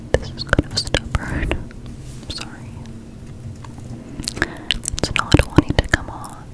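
A woman whispers in a soft-spoken way at a fairly slow pace. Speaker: ASMR creator. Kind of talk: soft ASMR roleplay talk. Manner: soft close-mic ASMR whisper. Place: home room. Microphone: studio mic.

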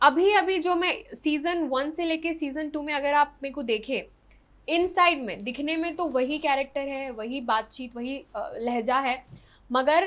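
A woman speaks at a fairly slow pace with a high pitch. Her pitch varies in an ordinary way. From Hyderabad, India (from age 11-12; born Odisha). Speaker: actress and social media influencer; actress, social media influencer. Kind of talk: interview. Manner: animated. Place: studio. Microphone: lapel.

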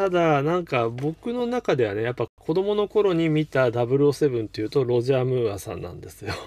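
A fairly high-pitched man at a moderate pace with hardly any pauses, very wide pitch swings, big swings in loudness, and a dry sound with no echo. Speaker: game collector streamer. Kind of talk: casual live stream talk. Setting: live stream. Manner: relaxed, laid-back. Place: home room. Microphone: webcam.

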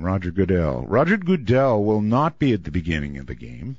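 A man is speaking. The sound is dry with no echo, over a quiet background. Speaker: radio show host. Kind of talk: radio monologue on the news.

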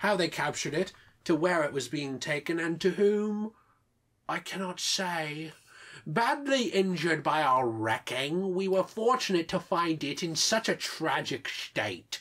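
Using a put-on character voice in a British accent, a woman speaks at a moderate pace with lively intonation and a fairly low pitch. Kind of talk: formal, archaic-sounding.

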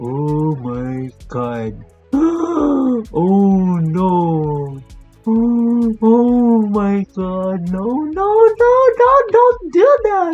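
Faint music plays in the background as a man talks at a very slow pace. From Philippines. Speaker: vlogger. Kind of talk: casual reaction video talk to camera. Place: home room. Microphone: webcam.

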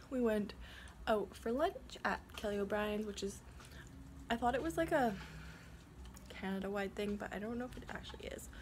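A woman talks at a moderate pace, with long, frequent pauses. Noticeable background noise runs under her voice. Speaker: vlogger. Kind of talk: casual vlog chat. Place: home room. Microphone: phone near.

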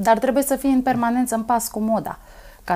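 This woman talks at a moderate pace in a dark, mellow tone. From Romania, Dâmbovița county; Romania. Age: 30s. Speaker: folk singer; interview guest. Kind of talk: interview; interview answer. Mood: warm, smiling, grateful. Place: studio. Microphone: lapel.

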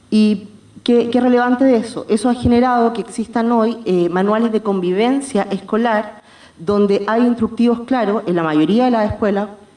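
Moderate pace and ordinary pitch variation from a woman speaker. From Chile. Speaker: philosophy academic; presenter. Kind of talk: reading a paper. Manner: formal. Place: hall. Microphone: podium.

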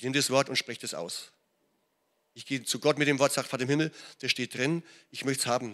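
A man's bright, sharp tone at a very fast pace, fairly even intonation and a quiet background. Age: 60s. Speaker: pastor. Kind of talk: sermon. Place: church. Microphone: handheld.

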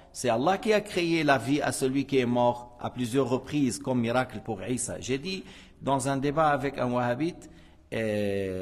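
A man speaks with an Arabic accent. His pace is fairly slow. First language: Arabic (speaking French). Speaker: Islamic religious teacher. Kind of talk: religious lesson. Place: hall. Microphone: podium.

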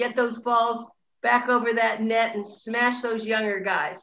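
At a fairly slow pace, a woman speaks in a high pitch amid audible room echo and light background noise. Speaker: online show host. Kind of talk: interview; interview host wrap-up. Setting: video call. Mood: warm, cheerful. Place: home room. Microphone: video call.

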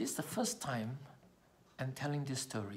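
This man's voice comes out somewhat breathy. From Malaysia. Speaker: public speaking trainer; communication trainer sharing a personal story. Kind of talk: personal storytelling speech. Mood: earnest, reflective. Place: home room. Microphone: phone near.

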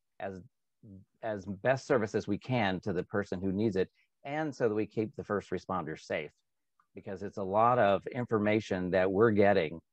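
At a moderate pace, a man talks in a fairly low voice with ordinary pitch variation. The background is quiet and the sound is dry with no echo. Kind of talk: interview answer. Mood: earnest, reflective. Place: home room. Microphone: video call.

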